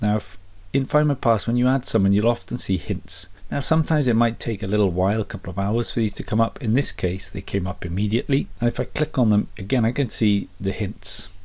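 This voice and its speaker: A very fast, dark and mellow voice with ordinary pitch variation on a very clean recording with a silent background. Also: man, medium pitch for a man. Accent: British. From Britain. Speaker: family history youtuber. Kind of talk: tutorial. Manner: casual.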